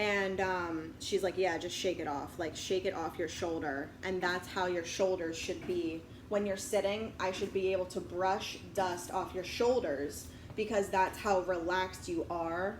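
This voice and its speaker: A woman speaks at a fairly slow pace with hardly any pauses, at medium pitch, with audible room echo. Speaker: video blogger. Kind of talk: casual monologue. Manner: loud; animated.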